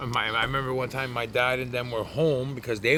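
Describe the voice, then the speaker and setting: At a fairly quick pace, a man with a Canadian accent speaks at medium pitch. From Canada, Toronto. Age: 40s. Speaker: former addict in recovery. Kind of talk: interview testimony. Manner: loud; casual, profane.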